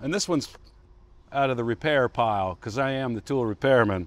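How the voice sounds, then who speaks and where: The speech moves at a moderate pace, with a dry sound and no echo. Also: man. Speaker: presenter. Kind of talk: tutorial. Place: street.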